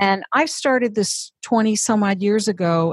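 In an unremarkable speaking voice of medium pitch, a woman talks at a fairly slow pace with lively intonation against a quiet background. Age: 50s. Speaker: career and executive coach. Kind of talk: interview. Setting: office.

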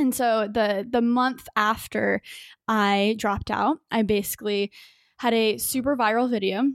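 This is an unremarkable speaking voice with an American accent, fairly even intonation and a fairly slow pace, recorded dry and close with no echo against a very clean, silent background. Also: woman, fairly high pitch for a woman. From Texas, Dallas suburbs. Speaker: YouTuber and tech entrepreneur. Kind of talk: casual interview chat.

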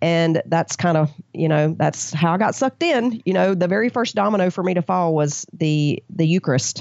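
A woman with an American accent in a normal speaking voice, fairly low in pitch with ordinary pitch variation, moderate pace, very even loudness and hardly any pauses. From US South. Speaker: Bible study author. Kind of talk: interview.

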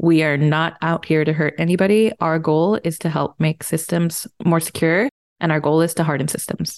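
A woman with a slight Spanish accent, fairly low pitch, fairly even intonation, very even loudness and a moderate pace, in a dry, close sound with no echo. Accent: light Spanish-accented English. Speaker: cybersecurity engineer. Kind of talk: interview.

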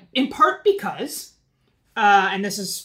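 At a moderate pace, a woman talks in an ordinary speaking voice with a medium pitch. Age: 40s. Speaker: political commentator. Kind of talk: casual chat.

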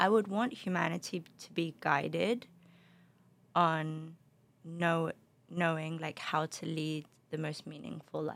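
With long, frequent pauses, a woman speaks at a fairly slow pace in a very deep, low pitch, her intonation fairly even and her loudness swinging widely. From London, England (also Spain). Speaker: beverage company founder. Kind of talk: interview. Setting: studio.

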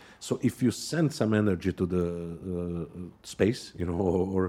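Captured in a very clean recording with a silent background, a man speaks at a fairly low pitch in a dark, mellow tone. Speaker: podcast host. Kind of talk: interview. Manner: halting, many fillers.

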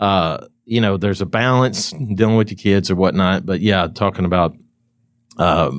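With a Kentucky accent, a man speaks at a very deep, low pitch and a moderate pace with ordinary pitch variation, on a very clean recording with a silent background. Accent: Kentucky Southern US. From Kentucky, US South. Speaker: online advertising agency owner, podcast host. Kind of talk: casual chat. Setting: trade show.

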